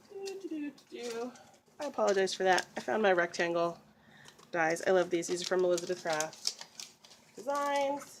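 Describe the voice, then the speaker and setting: Very wide pitch swings and long, frequent pauses over noticeable background noise. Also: woman, medium pitch for a woman, moderate pace. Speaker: card-making crafter. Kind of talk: crafting tutorial.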